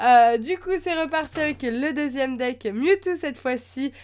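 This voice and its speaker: A woman's high-pitched voice at a very slow pace, with ordinary pitch variation, on a very clean recording with a silent background. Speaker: YouTuber opening trading card decks. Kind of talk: unboxing video, casual talk to camera. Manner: hesitant, many fillers.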